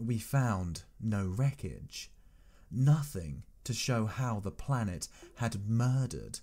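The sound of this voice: A reading voice, unforced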